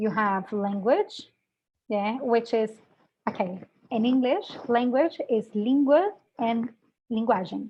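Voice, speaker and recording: A woman with a Brazilian accent, fairly high pitch and ordinary pitch variation, at a very slow pace with long, frequent pauses. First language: Portuguese. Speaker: English language teaching educator. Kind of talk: webinar talk.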